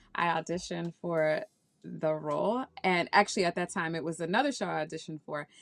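Speaking at a fairly quick pace with an American accent, a woman with a plain, everyday voice and fairly low pitch uses ordinary pitch variation on a very clean recording with a silent background. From Washington, D.C. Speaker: actress. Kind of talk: interview.

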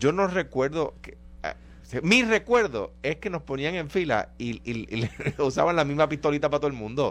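In an unremarkable speaking voice, a man talks at a moderate pace, fairly high in pitch with lively intonation. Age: 50s. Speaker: radio show panelist. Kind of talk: heated debate.

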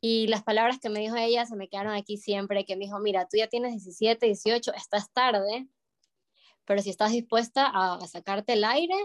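In a dry, close sound with no echo, a woman with fairly high pitch and an unremarkable speaking voice talks at a moderate pace with fairly even intonation. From Ecuador, Guayaquil. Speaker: ballet dancer. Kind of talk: interview.

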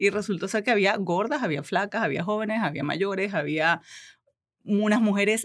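On a very clean recording with a silent background, a woman with a plain, everyday voice and fairly high pitch speaks at a fairly quick pace. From Venezuela. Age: 40s. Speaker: belly dancer and media communicator. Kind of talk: interview. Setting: studio.

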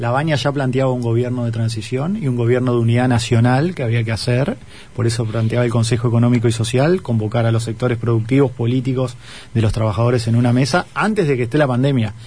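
With noticeable background noise and audible room echo, a man talks at a very fast pace and medium pitch, his loudness very even and his intonation fairly even. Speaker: political candidate. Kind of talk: radio interview.

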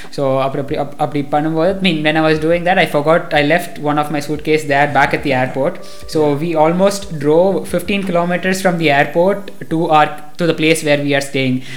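Amid noticeable background noise and audible room echo, a man in a Tamil Nadu accent talks at a moderate pace and a fairly high pitch, his intonation fairly even. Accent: Tamil Indian English. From India, Coimbatore, Tamil Nadu. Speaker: university student. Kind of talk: casual chat. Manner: hesitant, many fillers.

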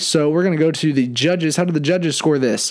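With noticeable background noise behind him, a man talks in a fairly high pitch with fairly even intonation. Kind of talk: game show host patter, announcing contestants and scoring them.

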